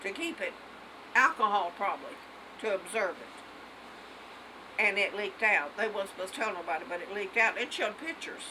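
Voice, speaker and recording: Over noticeable background noise, a woman talks at a moderate pace with a medium pitch. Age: 80s+. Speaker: elderly mother telling a personal story. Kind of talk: casual family chat. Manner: halting.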